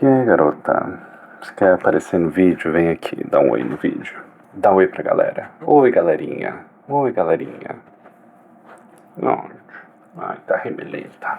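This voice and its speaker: A man speaks at a fairly slow pace with long, frequent pauses. Noticeable background noise runs beneath him. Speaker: music reaction youtuber. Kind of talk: reaction video commentary.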